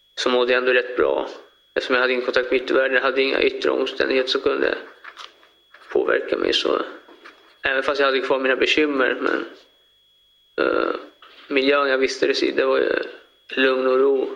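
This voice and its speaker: With noticeable background noise and audible room echo, a man talks at a fairly quick pace broken by long, frequent pauses. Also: very even loudness. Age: 20s. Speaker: murder defendant. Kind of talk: courtroom testimony. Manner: halting.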